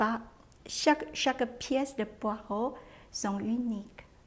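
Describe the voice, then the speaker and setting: A woman with a fairly high voice speaks at a very slow pace over noticeable background noise. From Taiwan. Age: 60s. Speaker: cook. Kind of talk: interview testimony. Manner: halting, with frequent hesitations.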